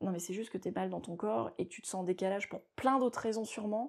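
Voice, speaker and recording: A woman with a dark, mellow tone and vocal fry talks at a very fast pace, her medium pitch lively in intonation, in a very clean recording with a silent background. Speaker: coach for teenagers and parents, parent of two. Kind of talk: interview answer.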